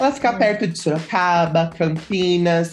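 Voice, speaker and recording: This woman has an unremarkable speaking voice, fairly low in pitch. She speaks at a moderate pace with ordinary pitch variation. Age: 20s. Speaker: streamer and youtuber. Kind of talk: casual chat.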